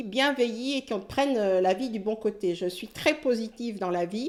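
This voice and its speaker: A woman with a fairly high pitch speaks with lively intonation. The recording is very clean, with a silent background. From French Caribbean (Antilles). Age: 60s. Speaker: retired nurse. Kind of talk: interview testimony. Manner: halting, many hesitations.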